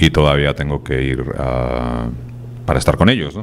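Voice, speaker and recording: Over light background noise, a man with a Spanish accent speaks fairly slowly with ordinary pitch variation. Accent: Peninsular Spanish. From Spain. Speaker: writer. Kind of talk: TV interview. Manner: casual. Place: studio. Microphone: handheld.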